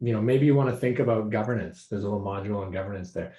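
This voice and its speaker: Somewhat breathy, a man's voice carries a dark, mellow tone. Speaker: program director at a startup accelerator. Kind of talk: online meeting presentation. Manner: fast.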